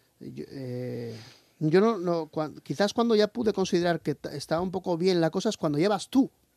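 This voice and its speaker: A man's high-pitched voice with a dark, mellow tone, at a moderate pace, in a dry, close recording with no echo. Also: very clean recording, silent background. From Asturias, Spain (Lugones). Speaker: heavy metal singer. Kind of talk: radio interview. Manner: halting, many fillers.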